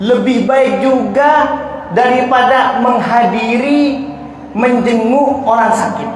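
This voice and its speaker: Over noticeable background noise and audible room echo, a man with an extremely high pitch speaks with monotone, flat intonation. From Jember, East Java, Indonesia. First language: Madurese (speaking Indonesian). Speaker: Islamic preacher. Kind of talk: religious lecture. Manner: not fast, speaks slowly.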